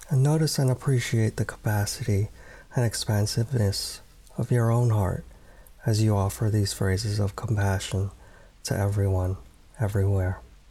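In a calm, gentle tone, a man speaks at a fairly low pitch with a somewhat breathy, dark, mellow voice and very even loudness. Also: ordinary pitch variation. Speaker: meditation guide. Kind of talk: guided meditation. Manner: slow, soft-spoken, calm and gentle with long pauses.

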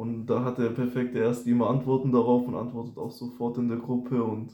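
A man with a dark, mellow tone and medium pitch speaks at a moderate pace amid audible room echo. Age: 20s. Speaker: first-year student. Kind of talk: casual chat.

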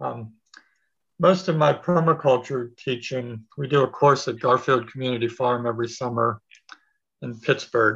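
A man with a plain, everyday voice speaks at a moderate pace and medium pitch. His pitch varies in an ordinary way over a quiet background. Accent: American. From Pennsylvania. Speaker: permaculture teacher. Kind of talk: casual interview.

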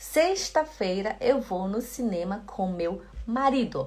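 The woman's pitch swings very widely, and her voice is somewhat breathy. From Belém do Pará, northern Brazil. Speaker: German teacher. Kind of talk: online language lesson.

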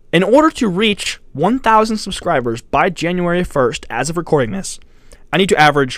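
A man's high-pitched voice at a moderate pace, with very wide pitch swings. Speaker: YouTuber and podcast host. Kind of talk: solo podcast monologue. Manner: casual, rambling.

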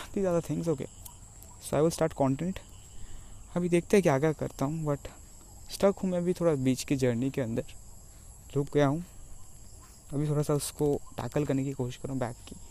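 Dark, mellow tone with ordinary pitch variation and long, frequent pauses. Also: man, fairly high pitch for a man, moderate pace. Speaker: aspiring online entrepreneur vlogger. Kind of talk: personal vlog monologue. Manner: halting.

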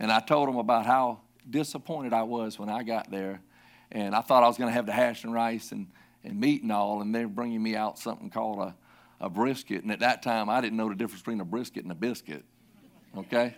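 A man with a Southern US accent at a very fast pace, fairly even intonation, and a very clean recording over a silent background. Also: medium pitch for a man. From South Carolina. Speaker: pastor. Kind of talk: sermon. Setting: church.

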